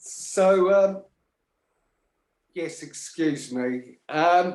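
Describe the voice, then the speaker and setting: A man talks loudly in a high pitch, his pitch varying in an ordinary way. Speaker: caller. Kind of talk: casual chat. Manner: halting.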